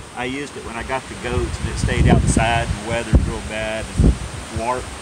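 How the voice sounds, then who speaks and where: Loud noise in the background accompanies speech delivered at a fairly quick pace. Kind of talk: casual vlog chat. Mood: cheerful, relaxed. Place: garden. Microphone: phone near.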